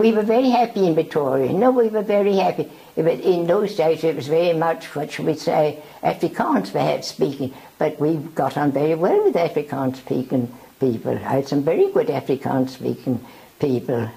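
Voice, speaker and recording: A woman with a very deep, low pitch speaks at a moderate pace, her pitch swinging very widely. Noticeable background noise runs underneath. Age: 80s+. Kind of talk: interview answer.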